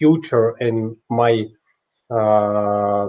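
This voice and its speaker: A man speaks with a Russian accent. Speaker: watchmaker and inventor. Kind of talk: interview answers. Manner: halting, many hesitations.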